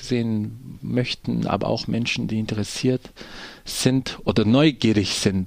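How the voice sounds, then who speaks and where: This man's voice sits at a medium pitch. It rises and falls in an ordinary way. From Brazil, poor neighborhood. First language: Portuguese (speaking German). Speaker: theatre actor and director. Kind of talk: radio interview.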